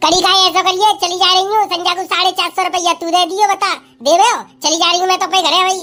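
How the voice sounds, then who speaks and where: A woman's cartoonish character voice, extremely high and monotone flat, at a very fast pace. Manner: blunt, rustic dialect.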